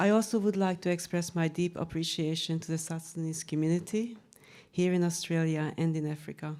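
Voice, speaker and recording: In a Hungarian accent, a woman with a dark, mellow tone and fairly low pitch speaks at a moderate pace and fairly even intonation, on a very clean recording with a silent background. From Hungary. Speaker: researcher and author. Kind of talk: panel talk presentation. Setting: room with live audience. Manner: formal.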